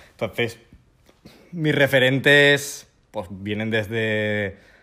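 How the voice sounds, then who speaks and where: A man's voice with a bright, sharp tone. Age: 20s. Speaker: travel YouTuber. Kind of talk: interview, casual chat. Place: home room. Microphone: handheld.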